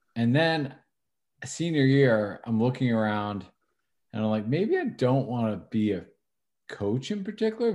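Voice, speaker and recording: A man speaks with a medium pitch on a very clean recording with a silent background. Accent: American. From Northern New Jersey. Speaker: college athletics compliance administrator. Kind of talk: interview. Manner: halting, many fillers and repetitions.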